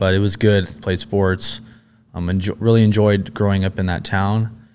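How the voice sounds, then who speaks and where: Over a silent background in a very clean recording, a man with an American accent speaks at a moderate pace in a fairly low, flat monotone. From Southern California. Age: 30s. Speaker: former Navy SEAL and police officer. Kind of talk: interview.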